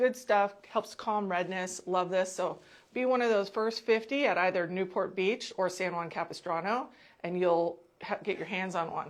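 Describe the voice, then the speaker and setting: A woman talks at a moderate pace in a medium pitch. She has an unremarkable speaking voice with ordinary pitch variation. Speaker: clinic marketing host. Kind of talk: promotional video. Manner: casual, chatty.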